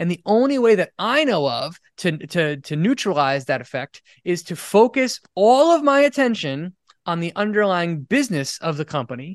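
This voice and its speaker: Against a quiet background, a man with an American accent speaks at a moderate pace, his pitch swinging very widely. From US Northeast, Rhode Island. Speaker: financial educator. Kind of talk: interview. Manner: halting.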